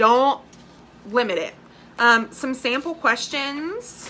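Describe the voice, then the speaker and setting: The voice is loud and animated, with lively intonation at a fairly slow pace. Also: woman. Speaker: direct sales team leader. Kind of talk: live training video. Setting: live stream. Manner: casual, animated.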